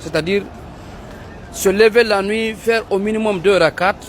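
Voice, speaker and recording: Crowd noise runs behind a man who talks at a high pitch and a fairly slow pace. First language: Pular (speaking French). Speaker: Islamic preacher. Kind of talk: religious advice talk.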